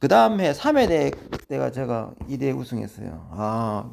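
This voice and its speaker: A man is heard against a silent background in a very clean recording. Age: 50s. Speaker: amateur marathon runner. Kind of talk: casual monologue.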